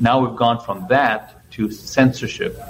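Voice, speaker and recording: Noticeable background noise is heard. A man talks at a fairly slow pace. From Ethiopia and Zambia. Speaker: election volunteer trainer. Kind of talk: interview.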